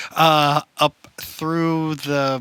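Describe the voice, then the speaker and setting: A man with a Wisconsin accent, bright and sharp in tone, in a dry, close sound with no echo. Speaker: band member. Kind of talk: casual chat. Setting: livestream Q&A in his basement.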